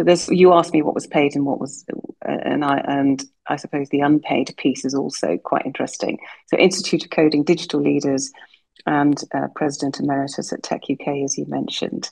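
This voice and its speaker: A woman speaks with vocal fry at a very deep, low pitch and fairly even intonation. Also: fairly quick pace. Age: 60s. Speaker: tech executive and board member. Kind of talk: interview.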